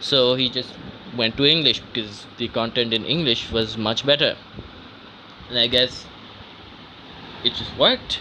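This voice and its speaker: A man speaks with long, frequent pauses. Noticeable background noise runs under his voice. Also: medium pitch for a man, moderate pace. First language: not English. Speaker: vlogger. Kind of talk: casual monologue. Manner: halting.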